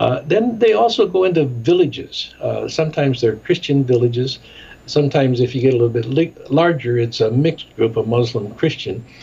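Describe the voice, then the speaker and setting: Fairly quick, lively speech from a man at medium pitch with an American accent, over noticeable background noise. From US Midwest, Chicago. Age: 70s. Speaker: ministry director and documentary maker. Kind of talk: interview.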